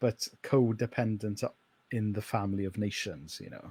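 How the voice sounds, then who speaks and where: Fairly slow and with a Welsh accent, a man speaks in a dark, mellow tone with a dry, close sound and no echo. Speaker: pastor. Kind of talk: casual interview chat.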